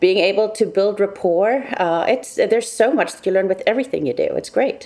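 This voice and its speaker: Against noticeable background noise, a woman talks at a fairly quick pace in a fairly high voice, with ordinary pitch variation and big swings in loudness. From South Africa. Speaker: cybersecurity consultant. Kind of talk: interview.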